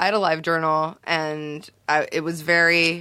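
Recorded very cleanly against a silent background, a woman with a Californian accent has a fairly low pitch and a bright, sharp tone. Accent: general American, Californian. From US West Coast, Los Angeles (South Bay). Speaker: zine maker and journalist. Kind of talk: casual chat. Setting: studio.

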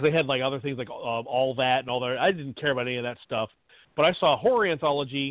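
A man speaks in an ordinary speaking voice at a medium pitch, with ordinary pitch variation. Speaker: podcast co-host. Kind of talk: casual chat.

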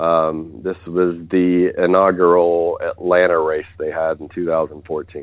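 Speaking with an American accent, a man with a very deep, low pitch talks at a very slow pace in a monotone, flat intonation, with hardly any pauses. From US South, West Virginia. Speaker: obstacle race director. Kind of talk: interview.

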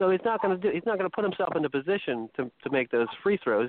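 Talking at a very fast pace, a man lets his pitch swing very widely. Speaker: guest panelist. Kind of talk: casual talk radio chat. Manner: halting, many fillers.

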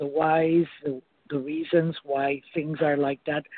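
A woman speaks in a very deep, low pitch. Her pace is fairly slow and her intonation fairly even. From Argentina. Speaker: caller. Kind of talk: call-in conversation. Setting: phone call.

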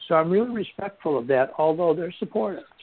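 A man with an American accent speaks in a normal speaking voice at a moderate pace, his intonation lively. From Buffalo, New York. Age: 60s. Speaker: author and bereaved father. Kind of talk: interview.

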